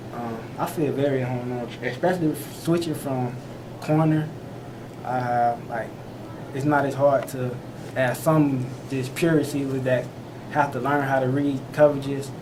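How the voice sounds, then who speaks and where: Soft-spoken and monotone with flat intonation, a man at medium pitch talks at a moderate pace with long, frequent pauses, while audible room echo and noticeable background noise fill the recording. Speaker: college football player. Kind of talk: press interview. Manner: halting.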